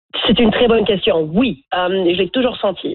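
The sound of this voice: The speaker is a woman with a medium-pitched voice. Her pitch moves in an ordinary way.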